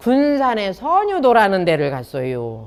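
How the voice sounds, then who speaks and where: A woman's fairly high-pitched voice in a Chungcheong accent. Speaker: professor and chef. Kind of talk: talk to an audience. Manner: lively, humorous.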